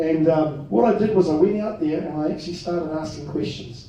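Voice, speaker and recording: A fairly high-pitched man's voice with a New Zealand accent, moderate pace, and ordinary pitch variation, in audible room echo. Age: 50s. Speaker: political party leader, ex-police detective. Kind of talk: political rally speech.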